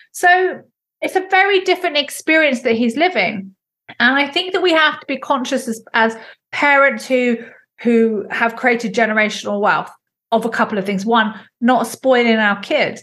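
With an English accent, a woman talks at a moderate pace in a high pitch. Her tone is bright and sharp, and her intonation is lively. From England. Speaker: entrepreneur. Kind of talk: interview.

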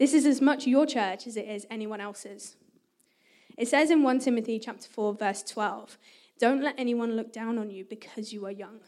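A woman's high-pitched voice with a dark, mellow tone, a moderate pace and ordinary pitch variation. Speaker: youth worker. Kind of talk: church talk. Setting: church with audience.

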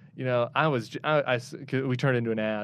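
A man speaks at medium pitch with fairly even intonation. His is an unremarkable speaking voice. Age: 30s. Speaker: political campaign staffer. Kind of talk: interview.

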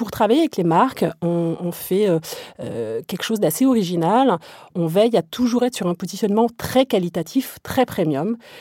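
In a very clean recording with a silent background and a dry, close sound with no echo, a dark, mellow tone takes very wide pitch swings at a moderate pace. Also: woman. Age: 30s. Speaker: media company co-founder and managing director. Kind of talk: interview.

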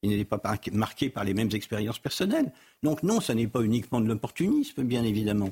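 At a fairly quick pace, a somewhat breathy man speaks at a medium pitch with ordinary pitch variation and very even loudness. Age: 60s. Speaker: political scientist. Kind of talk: TV debate.

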